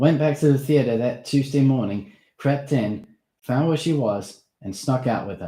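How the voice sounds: In a natural reading voice with ordinary pitch variation, the speech comes over a quiet background.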